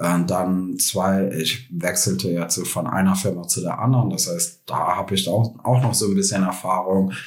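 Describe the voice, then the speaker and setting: A man's very deep, low voice with ordinary pitch variation, at a moderate pace with hardly any pauses, amid audible room echo and noticeable background noise. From Germany, Krefeld (North Rhine-Westphalia). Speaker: tech marketing specialist. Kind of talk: interview. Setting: in person.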